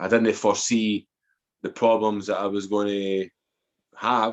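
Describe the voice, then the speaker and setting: With a quiet background behind him, a man speaks in a fairly low, monotone voice with flat intonation. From Scotland, Edinburgh. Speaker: author and former addict telling life story. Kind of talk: podcast interview, personal testimony. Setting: podcast interview.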